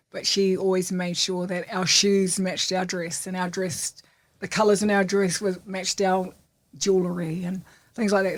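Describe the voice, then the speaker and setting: With a New Zealand accent, a woman speaks at a moderate pace in a medium pitch with monotone, flat intonation. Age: 60s. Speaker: entrepreneur. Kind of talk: interview.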